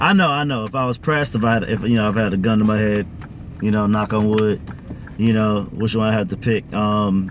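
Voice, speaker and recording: A man's fairly low-pitched voice with fairly even intonation, over noticeable background noise. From Caribbean family, parents from Grenada. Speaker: musician. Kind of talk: casual interview chat. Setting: in a car.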